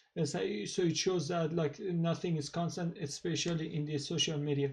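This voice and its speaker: At a moderate pace, a man with a strong Persian accent talks in a fairly high pitch with fairly even intonation. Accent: thick Persian. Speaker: YouTuber, political commentator. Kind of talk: casual monologue. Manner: halting, many fillers.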